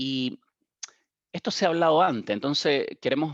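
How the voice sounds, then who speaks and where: Pitched fairly high, a man with a Chilean accent talks at a moderate pace with ordinary pitch variation. The sound is dry and close with no echo, over a quiet background. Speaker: digital strategy consultant. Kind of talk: webinar panel presentation. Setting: webcast. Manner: halting, frequent repetitions.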